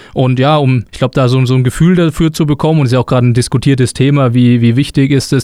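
Delivered at a very fast pace, the voice has a dark, mellow tone and fairly even intonation. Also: man. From Lower Franconia, Germany (near Würzburg). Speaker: sports club marketing and sales manager. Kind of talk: casual interview. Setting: studio.

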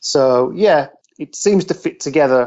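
A West Midlands accent with lively intonation at a fairly slow pace. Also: man. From West Midlands, England (Shropshire, near Telford). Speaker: football journalist. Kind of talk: interview.

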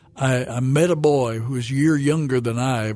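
A man's medium-pitched voice with a Southern US accent, at a fairly slow pace with ordinary pitch variation. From Arkansas, Fayetteville. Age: 70s. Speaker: pastor. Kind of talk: testimony. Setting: studio. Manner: halting.

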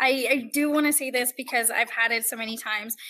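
A woman's raised, projected voice, high in pitch and bright and sharp in tone, with ordinary pitch variation at a moderate pace. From Puerto Rico. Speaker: veterinary student. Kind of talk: panel discussion.

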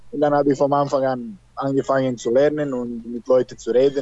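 A man's medium-pitched voice in a Serbian accent. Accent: Serbian accent, speaks German very well. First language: Serbian (speaking German). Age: 30s. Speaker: handball player. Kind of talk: interview. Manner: halting.

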